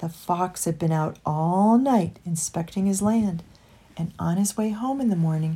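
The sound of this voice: The pitch shows ordinary variation in this unforced reading voice.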